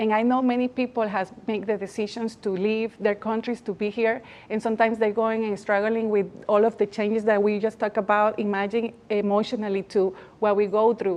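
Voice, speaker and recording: This woman has a Spanish accent and a fairly high pitch. She talks at a fairly quick pace with monotone, flat intonation. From Latin America. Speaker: magazine founder and awards organizer. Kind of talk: TV interview.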